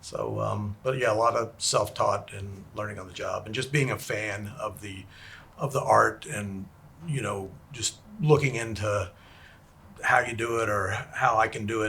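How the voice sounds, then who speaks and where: In a Texan accent, a man talks at a moderate pace. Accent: Texan American English. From Texas, Houston. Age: 60s. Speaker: special effects makeup artist. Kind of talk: interview chat.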